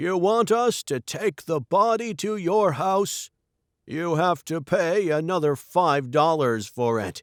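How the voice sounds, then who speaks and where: In a put-on character voice pitched high, a man talks at a fairly slow pace, the sound dry and close with no echo and the recording very clean over a silent background. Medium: read story.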